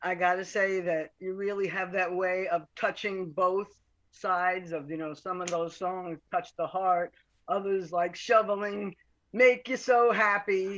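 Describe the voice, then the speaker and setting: A woman's unremarkable speaking voice at medium pitch, at a fairly slow pace, against a quiet background. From Long Island, New York. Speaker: audience member. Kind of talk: casual chat.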